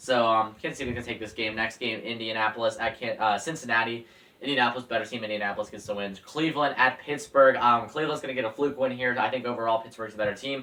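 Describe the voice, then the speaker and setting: A man with a medium pitch talks at a very fast pace, barely pausing and keeping his intonation fairly even. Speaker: football YouTuber. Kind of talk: casual sports predictions monologue. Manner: hesitant, many fillers.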